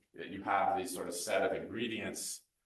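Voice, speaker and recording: Heard with audible room echo, a man with an American accent speaks at a moderate pace. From California (Santa Barbara). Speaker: architect. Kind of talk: lecture. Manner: unscripted, with frequent fillers.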